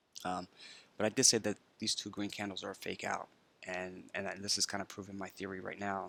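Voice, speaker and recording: Quiet and at fairly low pitch, a man talks at a fairly quick pace with monotone, flat intonation. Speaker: crypto trading commentator. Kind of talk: screen-share market commentary. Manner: talking quietly; many filler words.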